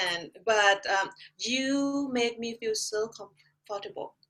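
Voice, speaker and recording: A woman speaks at a fairly slow pace with a Thai accent. Her high voice carries lively intonation. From Thailand. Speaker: artist and art instructor. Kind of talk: interview. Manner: halting.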